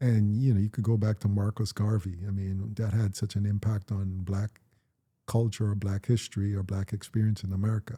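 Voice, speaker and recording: A dark, mellow, somewhat breathy tone in a flat monotone at a fairly quick pace, recorded very cleanly against a silent background with a dry, close sound and no echo. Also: man, fairly low pitch for a man. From Jamaica. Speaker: podcast host, actor. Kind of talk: casual chat.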